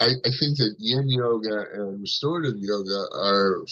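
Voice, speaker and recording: Bright and sharp in tone, a man speaks at a medium pitch and fairly slow pace with ordinary pitch variation. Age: 60s. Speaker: meditation teacher. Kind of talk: casual interview. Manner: halting, many fillers.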